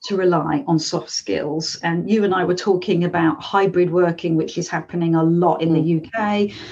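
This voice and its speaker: A woman talks with a London accent. Her pitch is medium. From London, England. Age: 50s. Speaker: life coach and author. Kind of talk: interview.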